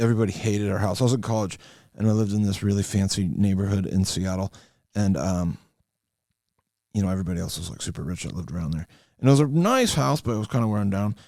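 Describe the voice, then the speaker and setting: Speaking in a Western New York accent, a man has a dark, mellow tone at a fairly low pitch with ordinary pitch variation. His pace is very fast, broken by long, frequent pauses. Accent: Western New York (Inland North) American. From Western New York, US. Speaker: trading card hobbyist. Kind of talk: casual card-opening monologue. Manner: hesitant, many fillers.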